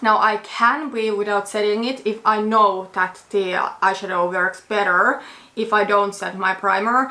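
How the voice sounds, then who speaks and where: Noticeable background noise sits behind a woman speaking. Her pace is fairly slow and her intonation fairly even. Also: medium pitch for a woman. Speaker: beauty vlogger. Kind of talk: casual chat.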